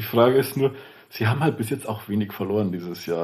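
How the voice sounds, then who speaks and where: A man with a strong Lower Bavarian accent, somewhat breathy, at a moderate pace. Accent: Lower Bavarian dialect, strong, rolled R. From Lower Bavaria, Germany. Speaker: TV sports journalist. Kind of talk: casual chat.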